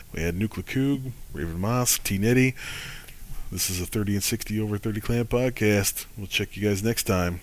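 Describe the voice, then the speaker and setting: A man with an American accent and a plain, everyday voice speaks at a moderate pace, fairly low in pitch with ordinary pitch variation. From Michigan. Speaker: podcast host. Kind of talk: casual podcast chat.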